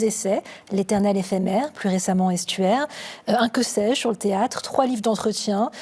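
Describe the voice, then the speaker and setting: A woman speaks at a fairly high pitch with fairly even intonation. Noticeable background noise runs under her voice. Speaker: TV presenter. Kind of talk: TV interview host.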